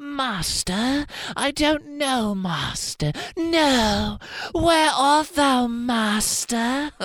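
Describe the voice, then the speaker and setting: A female-sounding voice in a high, put-on character voice. The pace is very slow. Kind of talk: archaic. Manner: theatrical, eerie, pleading.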